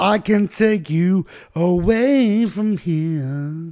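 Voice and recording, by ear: Putting on a character voice, a man speaks raspy and high-pitched at a very slow pace.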